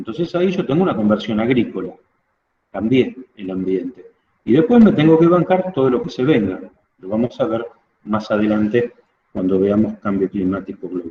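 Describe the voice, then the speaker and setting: A man with a Rioplatense accent, medium-pitched, at a moderate pace, with very wide pitch swings. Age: 60s. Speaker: teacher. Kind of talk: lecture. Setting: outdoors.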